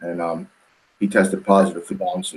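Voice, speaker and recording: A man talks with a New York accent. His intonation stays fairly even. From New York City, Queens. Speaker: powerlifting coach and brother of athlete. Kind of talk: podcast interview.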